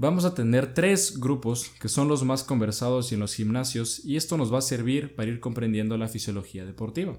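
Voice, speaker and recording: At a moderate pace, a man uses an ordinary speaking voice of medium pitch with ordinary pitch variation. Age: 20s. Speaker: podcast host. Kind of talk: educational talk.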